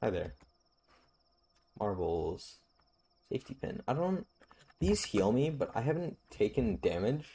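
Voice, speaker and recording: A man speaks with a dark, mellow tone and vocal fry. His pitch swings very widely, and he leaves long, frequent pauses. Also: medium pitch for a man, fairly slow pace. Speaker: streamer. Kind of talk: gameplay commentary. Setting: live stream. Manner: halting.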